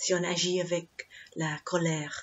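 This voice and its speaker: A woman's fairly low, monotone, flat voice with an English accent. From England. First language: English (speaking French). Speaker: Buddhist nun, meditation teacher. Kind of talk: dharma talk. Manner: halting, many hesitations.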